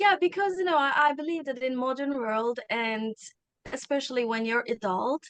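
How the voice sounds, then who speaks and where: This woman speaks at a moderate pace in a high pitch with a Turkish accent. Her intonation is lively. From Turkey. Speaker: communication coach. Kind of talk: interview conversation.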